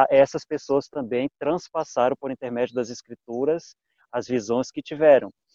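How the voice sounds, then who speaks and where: A man's dark, mellow tone at medium pitch moves at a moderate pace with fairly even intonation, recorded with a dry, close sound and no echo. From Brazil, Pará state. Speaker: Bible study participant, agrarian sciences. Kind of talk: Bible study discussion.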